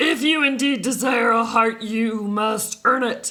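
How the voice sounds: A put-on character voice, gruff and fairly high in pitch, moves at a fairly slow pace.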